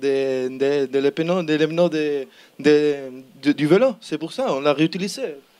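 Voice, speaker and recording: Speaking very slowly with a Spanish accent, a man uses a fairly high pitch and ordinary pitch variation. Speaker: student team member presenting an innovation project. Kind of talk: project pitch presentation. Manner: halting, many repetitions and fillers.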